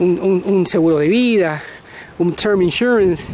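Recorded dry with no echo and light background noise, a man speaks with ordinary pitch variation. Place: beach. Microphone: phone near.

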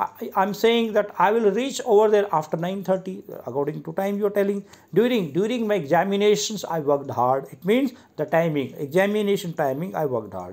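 Speaking in an Indian accent, a man talks at a fairly quick pace. His pitch is high, with lively intonation. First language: Hindi. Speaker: English teacher. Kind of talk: lecture. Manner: halting.

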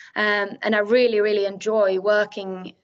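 The delivery is fairly slow, in a Swedish accent. The intonation stays flat and monotone. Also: woman. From Sweden. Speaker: architect. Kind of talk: lecture. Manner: hesitant, many fillers. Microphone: video call.

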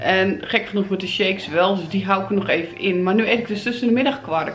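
Faint music plays in the background as the speaker goes at a fairly quick pace with ordinary pitch variation. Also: woman. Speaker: home vlogger. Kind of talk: casual vlog chat. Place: home room. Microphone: phone near.

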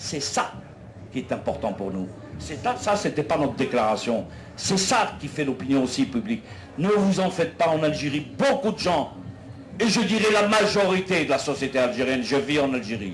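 Against light background noise, the voice moves at a moderate pace with very wide pitch swings. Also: man, fairly high pitch for a man. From Algeria. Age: 60s. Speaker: political activist; speaker. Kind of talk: public debate speech. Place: tent.

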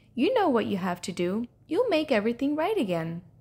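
A woman puts on a character voice at a fairly high pitch, with a slightly husky edge, a dark, mellow tone, very wide pitch swings and a fairly quick pace.

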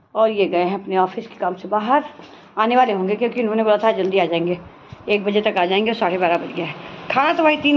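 At a moderate pace and with ordinary pitch variation, a woman talks against noticeable background noise. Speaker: homemaker vlogger. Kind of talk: casual vlog chat. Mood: relaxed, chatty.

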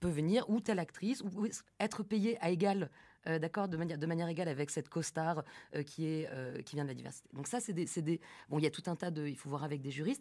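Against a quiet background, a woman with a dark, mellow tone speaks in a fairly low pitch with lively intonation. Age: 30s. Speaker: film director; guest. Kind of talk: live radio interview. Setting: live broadcast from the festival venue. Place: studio. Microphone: studio mic.

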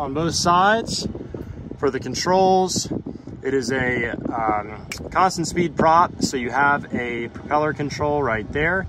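Noticeable background noise sits under speech at a very slow pace. The sound is dry, with no echo. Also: man. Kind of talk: casual vlog chat. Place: street. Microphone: phone near.

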